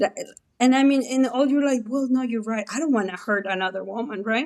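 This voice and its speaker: A woman's high voice with a Mexican accent. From Mexico. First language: Spanish. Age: 40s. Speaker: former abortion clinic manager. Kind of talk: interview testimony. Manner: conversational, animated.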